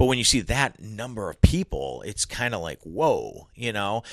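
At a fairly quick pace, a man speaks with medium pitch and very wide pitch swings. The background is quiet. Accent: Northeast Ohio. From Cleveland, Ohio. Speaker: sports reporter and broadcaster. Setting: in person, studio.

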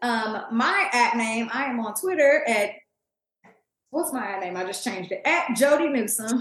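Talking at a fairly slow pace with an American accent, a woman has an ordinary speaking voice, fairly high in pitch, with lively intonation. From Kansas City, Missouri. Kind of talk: casual sports chat. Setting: video call.

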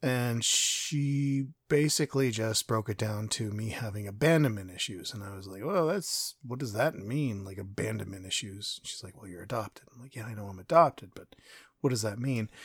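Over a very clean recording with a silent background, a man with a Canadian accent talks in a somewhat breathy voice with hardly any pauses. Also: medium pitch for a man, ordinary pitch variation, moderate pace. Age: 40s. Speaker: podcast host. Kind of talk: personal monologue.

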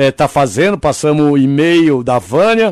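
A man's normal speaking voice, fairly high in pitch, with lively intonation and a fairly slow pace. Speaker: radio host. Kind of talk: casual radio chat.

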